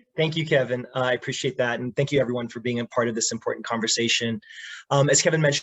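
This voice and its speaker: The speaker is a man with an ordinary speaking voice. His pitch is medium and his intonation fairly even. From immigrant to the US. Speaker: public defender attorney. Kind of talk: panel presentation. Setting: video call.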